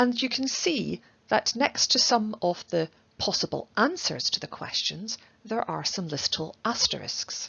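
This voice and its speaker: Her intonation is lively, and her pace fairly slow. The woman has a normal speaking voice. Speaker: university researcher and project lead. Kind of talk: academic presentation narration.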